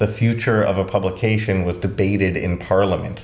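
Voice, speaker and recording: With a Long Island accent, a man speaks at a moderate pace, somewhat breathy. There is audible room echo. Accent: Long Island accent, shows at times. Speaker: educational YouTuber. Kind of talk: scripted commentary video. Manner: conversational, casual asides.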